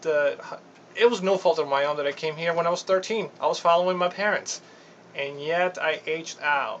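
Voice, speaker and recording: Against noticeable background noise, a high-pitched man speaks fairly quickly with ordinary pitch variation. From Venezuela. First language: Spanish. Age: 30s. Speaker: navy reservist and lawyer. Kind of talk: radio interview. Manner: halting.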